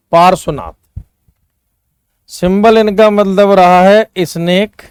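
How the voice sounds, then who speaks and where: A man speaks at a high pitch in a monotone, flat intonation. The sound is dry and close with no echo. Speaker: teacher. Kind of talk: online lecture.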